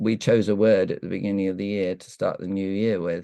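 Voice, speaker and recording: The voice has a dark, mellow tone and a British accent, recorded against a quiet background. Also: man. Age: 70s. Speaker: evolutionary counsellor, breathwork facilitator. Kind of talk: interview answer. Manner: hesitant, reflective.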